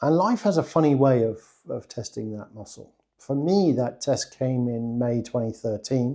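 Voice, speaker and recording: Speaking with an English accent at a moderate pace, a man has a dark, mellow tone at medium pitch, ordinary pitch variation and big swings in loudness. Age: 60s. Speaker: online business coach. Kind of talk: personal testimony monologue.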